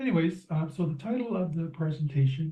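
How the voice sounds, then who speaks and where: Man with a dark, mellow tone, somewhat breathy, at a moderate pace. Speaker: systems engineering researcher. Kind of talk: presentation rehearsal. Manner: halting, many repetitions. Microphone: too quiet.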